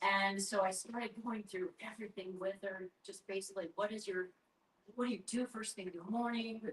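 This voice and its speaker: A woman with a medium pitch speaks at a moderate pace, her intonation monotone and flat and her voice somewhat breathy. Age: 60s. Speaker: doctor of natural medicine, army veteran. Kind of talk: sales pitch.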